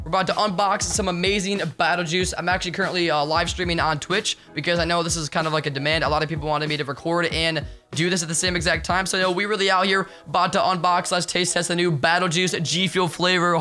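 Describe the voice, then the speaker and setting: With hardly any pauses, a man talks at a very fast pace in a high pitch and an energetic tone while faint music plays in the background. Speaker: YouTuber and streamer. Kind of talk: casual slang. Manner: very fast talker; energetic, hyped. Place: home room. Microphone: studio mic.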